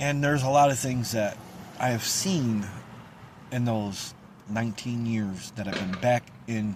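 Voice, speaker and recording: With long, frequent pauses, a man of medium pitch talks at a fairly slow pace and ordinary pitch variation, amid noticeable background noise and audible room echo. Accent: upstate New York. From central New York. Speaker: local community video host. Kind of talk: casual vlog monologue. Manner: halting, loses track.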